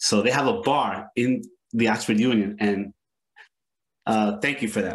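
A man with a New York accent, medium pitch, fairly even intonation, fairly slow pace, long, frequent pauses and very even loudness. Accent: New York American English. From New York City, Lower East Side. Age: 50s. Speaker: history professor. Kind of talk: academic panel discussion.

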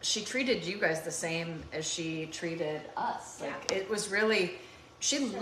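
A woman speaks at a moderate pace with ordinary pitch variation. Noticeable background noise is present. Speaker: cooking show host. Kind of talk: heartfelt casual talk to viewers. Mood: warm, reflective, tender. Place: kitchen. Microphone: phone near.

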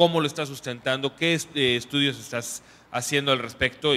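With a plain, everyday voice, a man at medium pitch talks at a moderate pace with fairly even intonation. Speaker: audience member. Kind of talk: Q&A comment. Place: hall.

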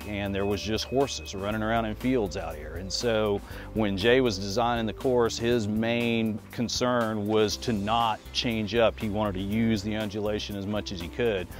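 Over faint music in the background, a man talks at a moderate pace with hardly any pauses, his fairly low voice showing ordinary pitch variation in a dry sound with no echo. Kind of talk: interview answer. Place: open country. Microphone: lapel.

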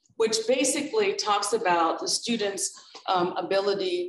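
This woman's medium-pitched voice makes very wide pitch swings. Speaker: college professor and moderator. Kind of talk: panel discussion. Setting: campus event with audience.

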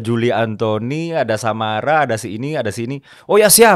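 A man talks fairly quickly and with lively intonation against a quiet background. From West Sumatra, Indonesia (Minang). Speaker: party politician. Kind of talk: political interview. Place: studio. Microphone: studio mic.

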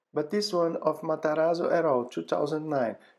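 A man with a Portuguese accent and a fairly high pitch is heard in a very clean recording with a silent background. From Brazil. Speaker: dental professor. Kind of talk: lecture.

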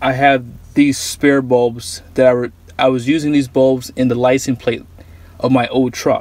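The speaker is a man at a moderate pace. There is no echo, and the sound is dry. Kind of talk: tutorial. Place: car. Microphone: phone near.

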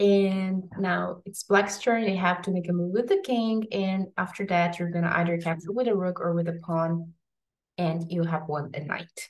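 Somewhat breathy speech at a moderate pace with fairly even intonation. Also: woman, fairly low pitch for a woman. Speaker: chess teacher. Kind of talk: tutorial. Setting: home video recording. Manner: casual, slightly hesitant.

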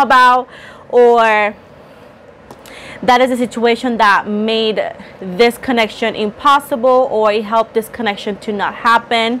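A woman speaks at a moderate pace, her intonation fairly even, with light noise in the background. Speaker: tarot reader. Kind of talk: tarot reading monologue. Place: home room. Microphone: lapel.

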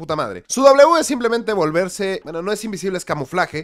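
A man with a Mexican accent talks at a very fast pace in an animated tone. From Mexico. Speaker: gaming video creator. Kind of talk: casual commentary video. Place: home room. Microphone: studio mic.

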